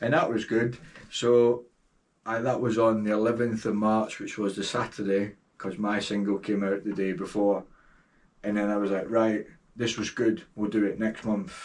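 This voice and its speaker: A man's fairly low voice in a Scottish accent, monotone and flat, at a moderate pace. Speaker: DJ and record label owner. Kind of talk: podcast interview answer.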